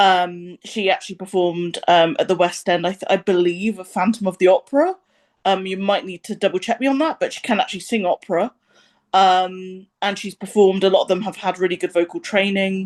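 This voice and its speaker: At a fairly quick pace and against a quiet background, a woman with a British accent speaks at a medium pitch with fairly even intonation. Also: dry, close sound with no echo. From England. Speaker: music reviewer. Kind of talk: casual chat. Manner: hesitant, many ums.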